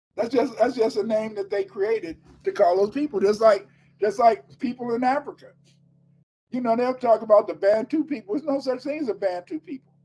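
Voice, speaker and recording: A man talks at a fairly quick pace with an extremely high pitch. His tone is dark and mellow, with ordinary pitch variation. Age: 70s. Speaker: author and history teacher. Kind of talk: interview. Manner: repetitive, halting starts.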